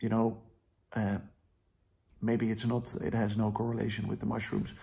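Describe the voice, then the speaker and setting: A man with a Dutch accent and vocal fry. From Netherlands. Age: 20s. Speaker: vlogger. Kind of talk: video diary. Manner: halting.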